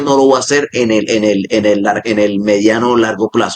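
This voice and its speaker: With ordinary pitch variation, a man talks at a fairly quick pace in a normal speaking voice. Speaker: AI automation expert and podcast co-host. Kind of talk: casual podcast conversation.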